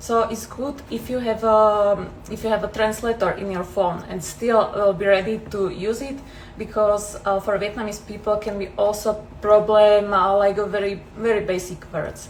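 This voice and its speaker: With a Slovak accent, a woman talks at a moderate pace and medium pitch in a flat, monotone way, and the room echo is audible. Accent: Slovak accent, noticeable. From Slovakia. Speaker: travel vlogger. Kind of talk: casual Q&A vlog. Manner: hesitant, many fillers.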